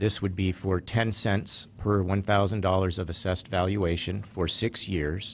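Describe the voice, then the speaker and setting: Monotone, flat intonation at a fairly slow pace, with very even loudness, hardly any pauses and light background noise. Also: man, fairly low pitch for a man. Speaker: city administrator. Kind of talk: staff report. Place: hall. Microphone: podium.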